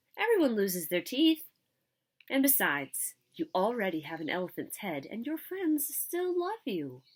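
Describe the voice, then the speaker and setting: A put-on character voice, female-sounding and squeaky, sits at a high pitch with very wide pitch swings. The delivery keeps a moderate pace. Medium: read story.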